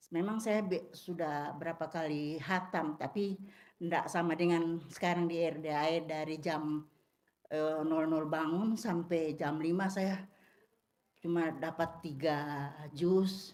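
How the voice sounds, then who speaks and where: A woman talks at a very slow pace and a fairly low pitch. Her intonation is fairly even. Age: 60s. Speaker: retired religious school teacher. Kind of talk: casual chat.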